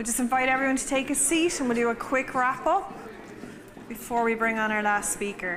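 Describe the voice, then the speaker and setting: A woman with an Irish accent and a high pitch, ordinary pitch variation, a fairly quick pace, and noticeable background noise. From Ireland. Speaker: event MC, nonprofit founder; conference host. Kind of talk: event hosting. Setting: conference stage with audience. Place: hall. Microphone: handheld.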